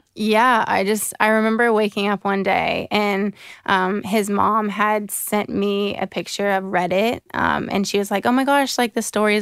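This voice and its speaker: An unremarkable speaking voice, a woman at medium pitch with an American accent speaks with hardly any pauses, very even loudness and fairly even intonation. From US South, Jacksonville, Florida. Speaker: professional soccer player. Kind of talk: interview.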